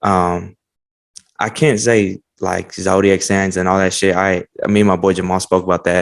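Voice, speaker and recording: A man with an American accent and a very deep, low pitch. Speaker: podcast host. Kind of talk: casual chat. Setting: video call. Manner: casual, informal.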